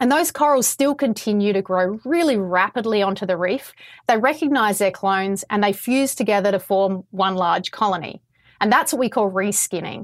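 A woman with an Australian accent speaks at a moderate pace and medium pitch. Her intonation is lively while her loudness stays very even. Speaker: coral scientist. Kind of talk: interview answers explaining science. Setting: video call.

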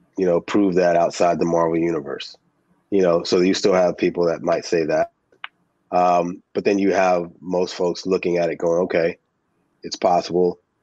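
A man with an American accent speaks at a moderate pace in a very deep, low pitch and a dark, mellow tone. His intonation is monotone and flat, and the sound is dry and close with no echo. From New Jersey. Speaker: filmmaker. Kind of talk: interview. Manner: casual.

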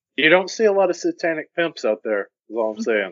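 Very wide pitch swings in a man's high voice, at a fairly quick pace. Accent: Southern US. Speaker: podcast guest.

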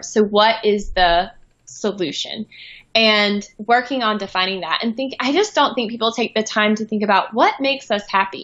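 With an American accent, a woman has a plain, everyday voice, a fairly high pitch, ordinary pitch variation and a moderate pace. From US South, small-town North Carolina. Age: 30s. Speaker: boutique founder, former corporate communications executive. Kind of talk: interview. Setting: remote call.

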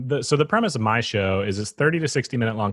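A man with an American accent at a very fast pace over a quiet background. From Wisconsin (Eau Claire). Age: 30s. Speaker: skate shop owner and podcast host. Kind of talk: casual chat.

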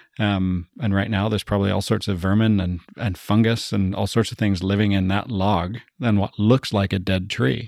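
A man at a moderate pace with hardly any pauses, fairly low in pitch and fairly even in intonation, an unremarkable speaking voice on a very clean recording with a silent background. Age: 40s. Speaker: business consultancy CEO. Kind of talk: casual chat.

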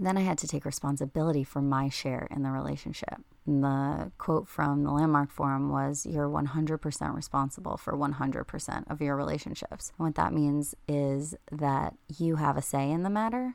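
The woman's pitch is very deep and low, and she talks at a moderate pace. The recording is very clean, with a silent background. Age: 30s. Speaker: podcast host. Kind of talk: solo monologue podcast.

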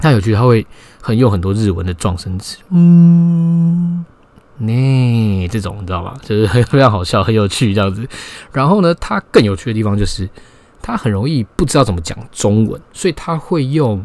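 A man with a Taiwanese accent at a medium pitch, with very wide pitch swings. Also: moderate pace. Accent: Taiwanese Mandarin. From Taiwan, Taipei. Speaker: podcast host. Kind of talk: solo casual monologue. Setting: home bedroom.

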